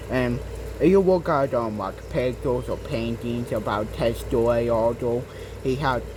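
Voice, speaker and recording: Noticeable background noise and audible room echo surround a man who speaks at a fairly slow pace. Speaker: gaming channel owner explaining history. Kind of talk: casual educational monologue. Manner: halting, many fillers.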